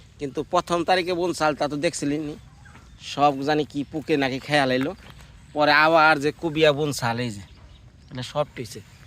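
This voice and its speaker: This is a normal speaking voice with ordinary pitch variation. Its loudness swings widely. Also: man, fairly high pitch for a man. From Bangladesh, Tangail (Mirzapur). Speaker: village life vlogger. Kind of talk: casual vlog chat.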